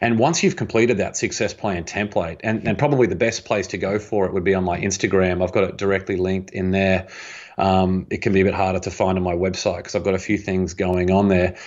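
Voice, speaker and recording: A man with an Australian accent speaks at a very fast pace in a very deep, low voice. His intonation stays fairly even. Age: 30s. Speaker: author and entrepreneur. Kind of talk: interview conversation.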